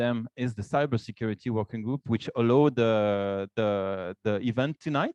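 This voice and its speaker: Moderate-paced male speech in a Swiss French accent, with ordinary pitch variation and a dry, close sound free of echo. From Romandie, French-speaking western Switzerland. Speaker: association vice president and business developer. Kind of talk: event welcome speech with slides. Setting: office event room with live audience, streamed on Zoom. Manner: halting, many fillers and repetitions.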